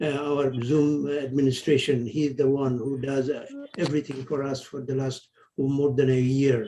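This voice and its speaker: Speaking at a fairly slow pace, a man has a dark, mellow tone, a somewhat breathy quality and fairly even intonation. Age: 70s. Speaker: lecture series organizer and senior geologist. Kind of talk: closing remarks in online meeting. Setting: video call. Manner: halting.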